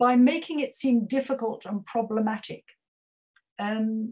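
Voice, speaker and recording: With a British accent, a woman speaks in a fairly high voice at a moderate pace. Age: 70s. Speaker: retired author and breastfeeding advocate. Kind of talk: keynote talk and panel discussion. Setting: video call.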